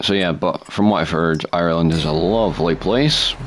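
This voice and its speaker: Against noticeable background noise, a man with a very deep, low voice speaks at a fairly slow pace with ordinary pitch variation. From Scotland. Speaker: gaming streamer. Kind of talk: live gameplay commentary. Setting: live stream. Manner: casual, chatty.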